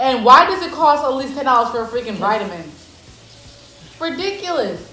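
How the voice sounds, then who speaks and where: A woman's raised, projected, high voice with an animated tone, very wide pitch swings and big swings in loudness, at a fairly quick pace, with audible room echo and noticeable background noise. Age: 20s. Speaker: college student, mukbang guest. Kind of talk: casual chat. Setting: eating on camera with friends.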